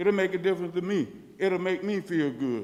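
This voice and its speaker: A man with a Florida accent, high in pitch, with ordinary pitch variation. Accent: Southern US (Florida). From US South, Leesburg, Florida. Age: 60s. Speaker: resident speaking at public comment. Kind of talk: public comment at city meeting. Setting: city commission meeting, at a microphone.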